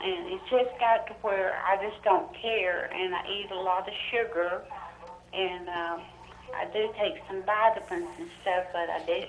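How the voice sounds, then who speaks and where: A woman speaks at a fairly slow pace with ordinary pitch variation. Noticeable background noise and audible room echo are present. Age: 60s. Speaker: caller. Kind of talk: phone-in question. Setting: phone call.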